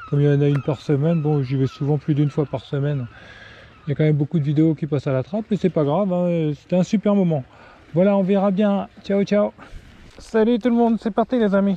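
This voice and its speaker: A man speaks at a very fast pace. His fairly high voice shows ordinary pitch variation. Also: dry, close sound with no echo. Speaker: fishing vlogger. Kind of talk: casual vlog narration. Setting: outdoors on the seashore. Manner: casual, hesitant with fillers; soft-spoken.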